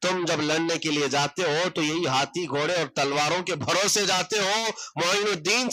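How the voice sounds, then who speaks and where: A man speaks at a high pitch with lively intonation. Noticeable background noise is present. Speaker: Islamic scholar giving a sermon. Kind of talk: Islamic sermon (bayan) on history, addressing an audience. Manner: passionate, rhetorical, storytelling.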